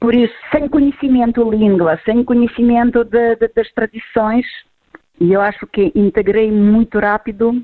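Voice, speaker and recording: A woman with a Ukrainian accent, a fairly high pitch and very even loudness. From Ukraine. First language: Ukrainian or Russian (speaking Portuguese). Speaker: immigrant association leader. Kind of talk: recorded interview.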